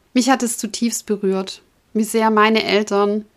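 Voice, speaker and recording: The recording is very clean, with a silent background. A woman speaks at a fairly slow pace with a fairly high pitch and a monotone, flat intonation. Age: 40s. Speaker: podcast host and breast cancer patient. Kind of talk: personal monologue to listeners.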